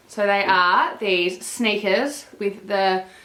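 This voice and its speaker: A woman's animated tone amid audible room echo and noticeable background noise. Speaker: fashion vlogger. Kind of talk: haul video.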